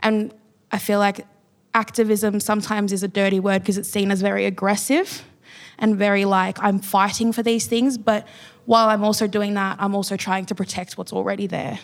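A woman with an Australian accent speaks at a moderate pace in a medium pitch with monotone, flat intonation. The recording is very clean, with a silent background. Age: young. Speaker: writer. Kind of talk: panel discussion. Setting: stage with audience.

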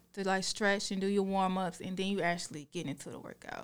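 The clip has a normal speaking voice moving at a fairly quick pace. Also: woman. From Augusta, Georgia area (US South). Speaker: fitness influencer. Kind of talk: casual interview.

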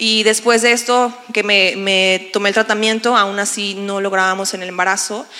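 Over noticeable background noise, a woman at a medium pitch speaks in a monotone, flat intonation. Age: 30s. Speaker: pastor. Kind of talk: testimony. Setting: church stage with audience.

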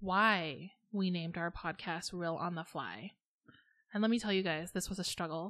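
A woman's medium-pitched voice with fairly even intonation over a quiet background. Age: 30s. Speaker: podcast co-host and lifestyle blogger. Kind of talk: casual chat.

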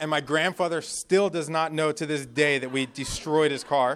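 A man with an American accent and a normal speaking voice, fairly high in pitch, at a moderate pace with fairly even intonation. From New Jersey. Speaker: guest preacher. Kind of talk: sermon.

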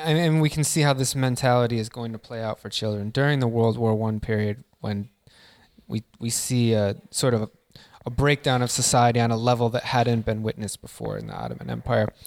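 A man with a plain, everyday voice speaks at a fairly quick pace with medium pitch and fairly even intonation, in a dry, close sound with no echo. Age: 20s. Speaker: podcast host and graduate student. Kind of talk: academic interview.

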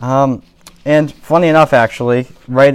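A man speaks at a fairly slow pace in a normal speaking voice. His intonation stays fairly even. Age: 20s. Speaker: parish talk presenter. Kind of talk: lecture.

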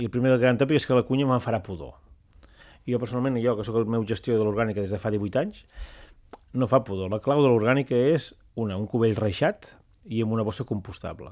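In a very clean recording with a silent background, a man at medium pitch talks at a very fast pace with ordinary pitch variation. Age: 40s. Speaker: public agency director. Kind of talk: radio interview.

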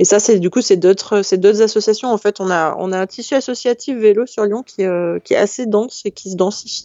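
Fairly quick and with hardly any pauses, a woman with an unremarkable speaking voice talks at a medium pitch with fairly even intonation. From France, Hautes-Alpes. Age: 30s. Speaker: employment information worker. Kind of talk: casual chat.

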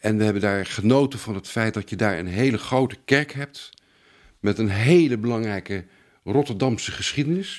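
A man with a medium-pitched voice talks at a moderate tempo, his pitch varying in an ordinary way. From Netherlands, Haarlem area. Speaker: antique silver expert. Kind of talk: interview. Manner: halting.

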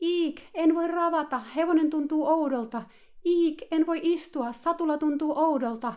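Putting on a character voice, a woman speaks in a shrill, extremely high pitch. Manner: mocking, dramatically exaggerated.

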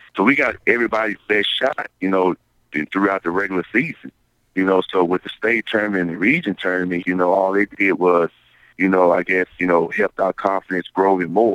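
Speaking at a fairly quick pace, this man has a very deep, low voice and fairly even intonation. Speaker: junior college basketball head coach. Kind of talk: casual interview. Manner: fills with repeated words and 'you know'.

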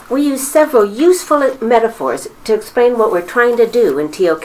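Against noticeable background noise, a woman's fairly high voice swings very widely in pitch. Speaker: high school teacher. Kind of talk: interview.

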